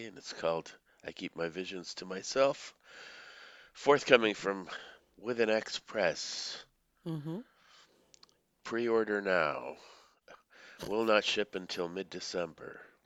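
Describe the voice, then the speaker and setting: A man puts on a raspy character voice at a fairly low pitch. He goes at a fairly slow pace, with long, frequent pauses and big swings in loudness. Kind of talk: flat, businesslike announcement.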